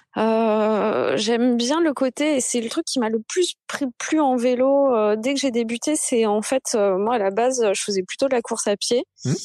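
A woman talks at a fairly slow pace and a high pitch, with very even loudness. The sound is dry and close, with no echo. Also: ordinary pitch variation, hardly any pauses. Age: 30s. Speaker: cyclist and communications worker. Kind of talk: casual chat.

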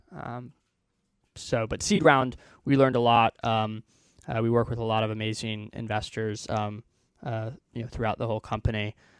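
In an American accent, the speaker uses fairly even intonation at a moderate pace, with long, frequent pauses. The sound is dry and close with no echo, a very clean recording with a silent background. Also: man, medium pitch for a man. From Texas, Houston. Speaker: startup co-founder. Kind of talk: interview. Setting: studio. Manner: halting, many fillers.

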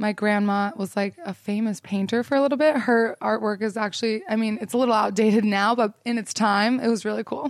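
An ordinary speaking voice from a woman with an American accent, fairly high in pitch, fairly even in intonation, at a fairly quick pace. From Utah, US. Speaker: influencer and photographer. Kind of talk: casual interview. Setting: in person at fashion week.

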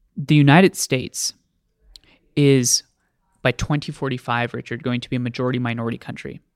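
The speech goes at a fairly quick pace on a very clean recording with a silent background. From US (New Jersey, moved around). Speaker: student organization leader. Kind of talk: interview.

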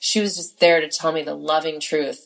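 A woman with an American accent speaks at a moderate pace, her fairly low voice carrying fairly even intonation. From California. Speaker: podcast host and life coach. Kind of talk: solo monologue.

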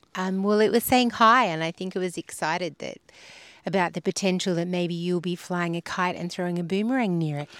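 With an Australian accent, a woman speaks at a fairly quick pace and fairly low pitch with ordinary pitch variation, in a very clean recording with a silent background. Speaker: podcast host. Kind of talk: casual chat about faith. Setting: outdoors by a river.

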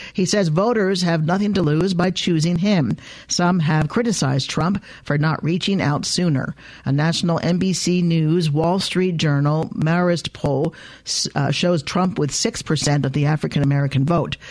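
In an ordinary speaking voice, a woman with a fairly low pitch talks at a moderate pace with very even loudness and ordinary pitch variation. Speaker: radio host. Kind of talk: radio news magazine hosting. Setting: studio.

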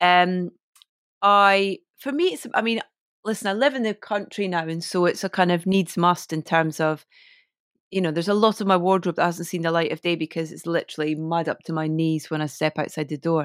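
In a Scottish accent, a woman talks at a fairly quick pace with a fairly low pitch and ordinary pitch variation, the sound dry and close with no echo, on a very clean recording with a silent background. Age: 40s. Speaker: DJ and broadcaster. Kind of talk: casual interview chat.

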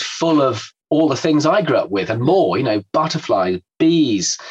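A man speaks at a moderate pace. His voice sits fairly high. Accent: English. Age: 60s. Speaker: environmental campaigner. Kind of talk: casual chat. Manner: halting.

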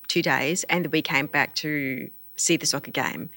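A woman with an Australian accent and a very deep, low pitch speaks at a moderate pace with fairly even intonation and a bright, sharp tone, on a very clean recording with a silent background. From Australia, Melbourne. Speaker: deaf community organization CEO. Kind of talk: casual interview.

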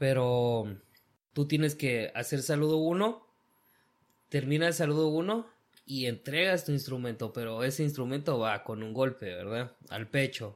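This man has a plain, everyday voice at a medium pitch. He talks at a fairly slow pace with lively intonation. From Guatemala. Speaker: construction worker. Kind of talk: casual chat. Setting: at the guest's home.

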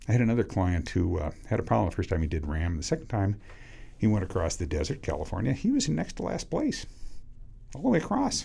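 A man with an American accent speaks at a very fast pace in a fairly low, dark, mellow voice that is somewhat breathy, his pitch swinging very widely. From US Pacific Northwest, Washington State. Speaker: cycling coach. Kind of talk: casual chat.

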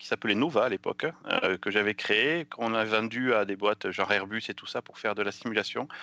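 A man with a southwestern French accent talks at a very fast pace in a bright, sharp tone. The sound is dry and close with no echo, over a quiet background. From southwestern France, near Pau. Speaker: software developer. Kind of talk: casual chat.

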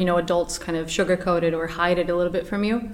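A woman with a slight Portuguese accent speaks at a fairly low pitch with fairly even intonation over noticeable background noise. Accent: barely any Portuguese. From Portugal. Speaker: actress. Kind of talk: interview. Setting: studio.

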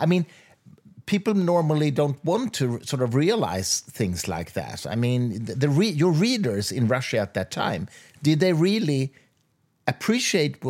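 In a very clean recording with a silent background, a man with a Swedish accent speaks at a fairly high pitch, his voice making very wide pitch swings. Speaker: podcast host. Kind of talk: interview.

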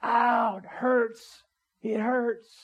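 This is a put-on character voice. Its pitch sits fairly high. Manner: squealing in pain.

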